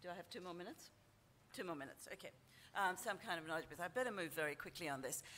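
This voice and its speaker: Speaking very fast, a woman with a fairly low pitch and a bright, sharp tone uses lively intonation over light background noise. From Asia. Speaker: university dean. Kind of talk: panel presentation; panel discussion. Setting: stage with audience. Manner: halting. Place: hall. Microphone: podium.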